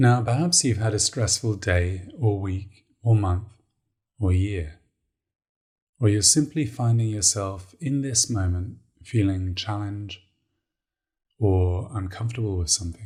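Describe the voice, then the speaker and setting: On a very clean recording with a silent background, a man speaks at a fairly low pitch and fairly slow pace in a calm, soothing, dark, mellow tone, somewhat breathy, with ordinary pitch variation and long, frequent pauses. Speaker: meditation coach. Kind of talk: guided meditation. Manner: calm, slow, soothing.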